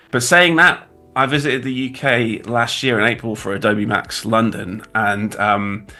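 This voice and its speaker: Bright and sharp in tone, the speaker uses a British accent at a moderate pace with ordinary pitch variation. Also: man, medium pitch for a man. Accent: British accent with glottal stops. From England. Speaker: graphic designer. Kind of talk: livestream tutorial chat. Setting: livestream. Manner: casual, halting.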